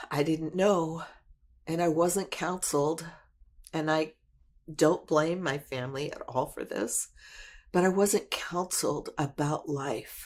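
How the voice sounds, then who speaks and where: At a very slow pace with long, frequent pauses, a woman speaks in a fairly low pitch with ordinary pitch variation, in a very clean recording with a silent background. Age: 60s. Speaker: testimony speaker, military veteran. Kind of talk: testimony. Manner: halting, with fillers.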